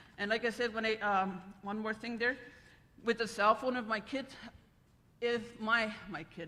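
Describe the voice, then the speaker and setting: Her bright, sharp voice sits fairly high, and this woman keeps her intonation fairly even at a moderate pace, with long, frequent pauses. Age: 60s. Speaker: retired language teacher. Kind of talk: conference panel talk. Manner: halting.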